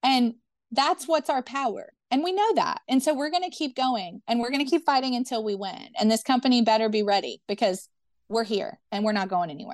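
In a dry, close recording with no echo and a quiet background, a woman talks at a fairly quick pace. She has an American accent, a high pitch and lively intonation. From US South, Memphis, Tennessee. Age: 30s. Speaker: union organizer. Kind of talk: interview.

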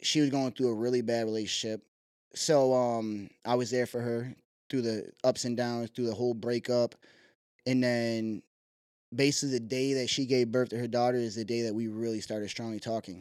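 A man with an American accent speaks at a moderate pace and medium pitch in a monotone, flat intonation on a very clean recording with a silent background. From Syracuse, New York, US. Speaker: mobile detailing business owner. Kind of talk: casual chat.

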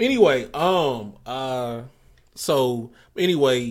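In a very clean recording with a silent background, a man talks at a medium pitch. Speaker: podcast host. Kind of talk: casual chat. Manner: loud; halting, many repetitions.

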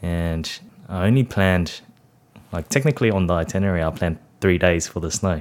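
The recording is very clean with a silent background as a man talks fairly quickly in a very deep, low pitch. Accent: Australian. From Sydney, Australia (Cabramatta, western Sydney). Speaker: food blogger and optometrist. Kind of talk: casual interview chat.

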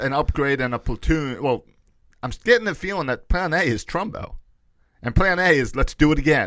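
This man has an ordinary speaking voice with a fairly high pitch and an American accent. His intonation is lively and his pace fairly quick. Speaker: podcast co-host. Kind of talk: casual sports talk.

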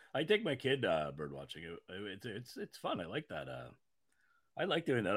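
At a moderate pace, a man speaks at medium pitch with vocal fry. The recording is very clean and the background silent. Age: 40s. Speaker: podcast host. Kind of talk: casual chat. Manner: halting.

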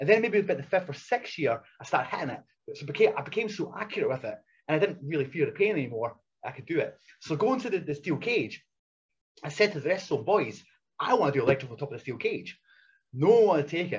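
A man with a high pitch talks at a very fast pace, with very wide pitch swings, big swings in loudness, and long, frequent pauses. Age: 40s. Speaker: retired wrestler. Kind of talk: casual chat. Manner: fast talker.

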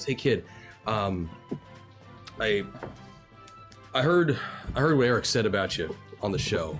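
A man uses a husky, put-on character voice at a fairly low pitch, speaking very slowly. Clear music plays behind him.

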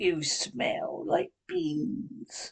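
The speaker puts on a character voice at a fairly high pitch.

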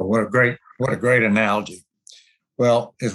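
A man's medium-pitched, moderately paced delivery in a normal speaking voice. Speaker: podcast host. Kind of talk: interview.

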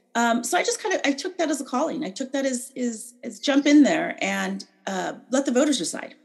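A woman's high, lively voice in an American accent, fairly quick with hardly any pauses, over noticeable background noise. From California. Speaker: political candidate and educator. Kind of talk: interview. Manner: halting.

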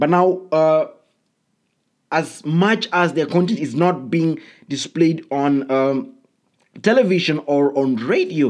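A man talks at a fairly slow pace. His voice is high. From Kenya. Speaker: podcast host. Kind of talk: solo podcast monologue. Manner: hesitant, many fillers.

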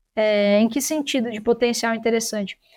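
Here a woman speaks at a high pitch and a moderate pace. The recording is very clean, with a silent background. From Brazil, São Paulo city. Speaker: veterinarian and animal science researcher. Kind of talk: interview. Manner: halting, frequent repetitions.

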